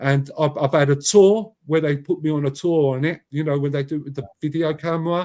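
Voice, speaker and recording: A man with a London accent and a fairly high pitch. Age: 50s. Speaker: YouTuber and commentator. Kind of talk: interview. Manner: loud; passionate.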